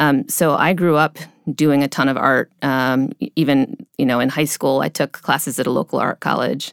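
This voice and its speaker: In a very clean recording with a silent background and a dry, close sound with no echo, a woman with an American accent speaks at a very deep, low pitch. Her pace is moderate, her intonation fairly even, and her loudness very even. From US Midwest, near Cleveland, Ohio. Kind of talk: interview. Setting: studio.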